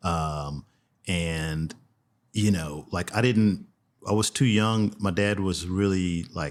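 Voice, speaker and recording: In a Texan accent, a man with a very deep, low pitch talks at a very slow pace with long, frequent pauses, a relaxed tone and ordinary pitch variation. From Texas, Houston. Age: 60s. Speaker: fly fishing guide. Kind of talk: podcast interview. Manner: relaxed, conversational.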